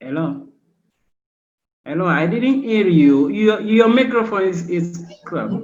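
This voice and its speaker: A man with a high pitch speaks at a fairly slow pace, leaving long, frequent pauses. His intonation is lively, and audible room echo surrounds him. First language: Portuguese. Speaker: student union leader. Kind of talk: panel discussion. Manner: halting.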